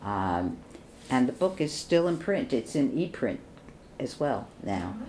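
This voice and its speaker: The voice is dark and mellow, with vocal fry. It moves at a fairly slow pace through very wide pitch swings. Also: woman, very deep, low pitch for a woman. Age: 80s+. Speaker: psychoanalyst. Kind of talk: oral history interview answer.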